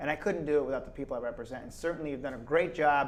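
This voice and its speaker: Man with an American accent, fairly high in pitch. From Schenectady, New York, US. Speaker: state politician. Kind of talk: casual interview.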